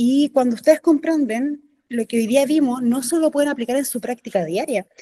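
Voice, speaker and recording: A woman's high voice with a dark, mellow tone, ordinary pitch variation, and a dry, close sound with no echo. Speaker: teacher trainer. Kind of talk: workshop.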